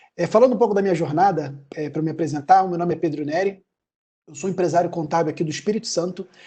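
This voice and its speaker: In a Rio de Janeiro accent, a man speaks at a very fast pace with a high pitch, ordinary pitch variation, a dark, mellow tone and big swings in loudness. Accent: carioca accent, hissing s. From Brazil, Rio de Janeiro. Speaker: accounting firm owner. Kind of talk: webinar talk.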